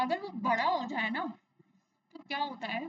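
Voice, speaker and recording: At a moderate pace, a woman talks at a high pitch. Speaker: science teacher. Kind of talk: lecture. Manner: conversational, repetitive questioning.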